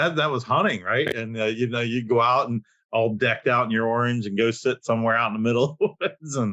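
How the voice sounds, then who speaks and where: Very fast and fairly even in intonation, a man with an American accent talks at a medium pitch in a bright, sharp tone, with a dry, close sound with no echo and a quiet background. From Pennsylvania. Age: 50s. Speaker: podcast co-host. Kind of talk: casual chat.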